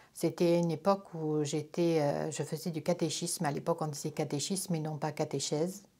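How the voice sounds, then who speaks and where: At a fairly quick pace, a woman speaks in a very deep, low pitch with a dark, mellow tone and monotone, flat intonation, on a very clean recording with a silent background. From France, Corrèze. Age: 60s. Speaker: religious convert. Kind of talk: testimony. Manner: hesitant, many fillers.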